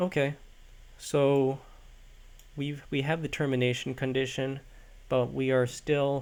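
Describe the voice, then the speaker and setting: With long, frequent pauses, a man speaks in a monotone, flat delivery at a fairly high pitch. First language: not English. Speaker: coding tutorial creator. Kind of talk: tutorial. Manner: halting, many fillers.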